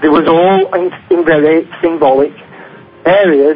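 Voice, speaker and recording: With noticeable background noise behind him, a man talks with a Northern English accent. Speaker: author and conspiracy researcher. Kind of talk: radio interview answer. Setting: phone line. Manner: hesitant, many fillers.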